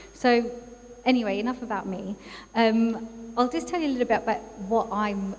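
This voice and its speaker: Noticeable background noise runs behind the recording. The speaker is a woman. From England. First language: Urdu. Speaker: psychologist and neurodiversity coach. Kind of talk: talk at a workshop. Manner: many fillers and hesitations.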